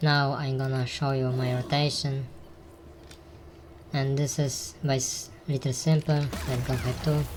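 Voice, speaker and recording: The speaker, with a non-native accent, talks at a fairly slow pace with long, frequent pauses. Noticeable background noise is present. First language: not English. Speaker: gaming guide creator. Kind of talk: tutorial. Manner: halting.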